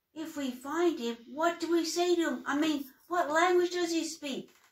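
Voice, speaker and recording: A woman puts on a character voice at an extremely high pitch, speaking at a moderate pace with fairly even intonation. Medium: read story. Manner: bumbling.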